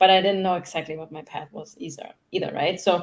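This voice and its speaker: A woman speaks with a German accent in a medium pitch. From Germany. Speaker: human design mentor. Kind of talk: casual interview. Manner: fast.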